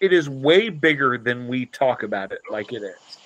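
With an American accent, a man speaks at a fairly high pitch and swings it very widely. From US Midwest, Dayton, Ohio. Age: 40s. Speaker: punk musician. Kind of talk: casual chat.

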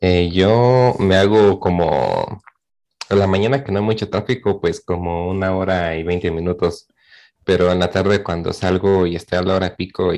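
Against a quiet background, a man with a Mexican accent speaks in a very deep, low pitch. He keeps a fairly slow pace and fairly even intonation. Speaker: university student. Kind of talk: casual chat.

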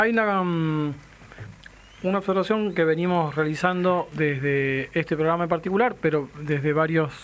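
This is an ordinary speaking voice, a man's at a fairly high pitch with ordinary pitch variation. He keeps a moderate pace and very even loudness. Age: 40s. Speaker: radio host. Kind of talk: radio talk show.

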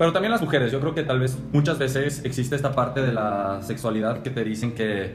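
A man with a Mexican accent talks at a very fast pace and medium pitch, with ordinary pitch variation, audible room echo and noticeable background noise. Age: 20s. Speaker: podcast co-host. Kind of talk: casual chat.

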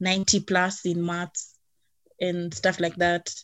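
Her voice sits fairly low and stays flat and monotone throughout. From Kenya (Nairobi). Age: 20s. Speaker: singer and creative freelancer. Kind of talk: casual chat.

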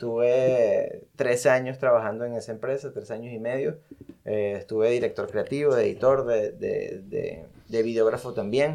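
The speaker has a Venezuelan accent. The pace is moderate. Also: man. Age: 30s. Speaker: music video director. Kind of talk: casual interview.

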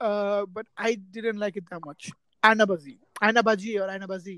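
The speaker has a Bengali accent. The pace is moderate. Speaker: podcast co-host. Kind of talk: casual chat.

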